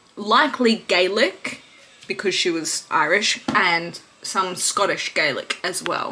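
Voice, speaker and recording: Noticeable background noise sits under a woman's medium-pitched voice. She speaks very slowly with ordinary pitch variation. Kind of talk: history storytelling to camera. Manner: casual, irreverent.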